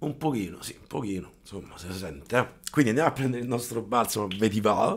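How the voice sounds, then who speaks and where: A man at medium pitch, very fast and with hardly any pauses, with big swings in loudness. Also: lively intonation. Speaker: wet-shaving YouTuber. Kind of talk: casual chat, product review. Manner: informal, rambling.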